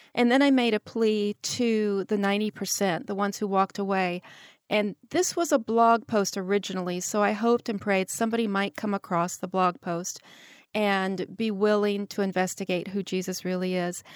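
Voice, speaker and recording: In a normal speaking voice, a woman talks at medium pitch and moderate pace with fairly even intonation, recorded very cleanly with a silent background and a dry, close sound with no echo. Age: 60s. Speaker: author. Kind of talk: interview.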